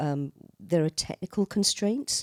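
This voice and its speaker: A woman at a moderate pace, very clean recording with a silent background, dry and close with no echo. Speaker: composer. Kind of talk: panel discussion.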